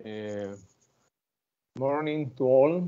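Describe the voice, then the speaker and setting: A man speaks with a Spanish accent. His voice is medium in pitch with ordinary variation. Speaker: growers association president. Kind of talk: conference presentation. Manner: halting.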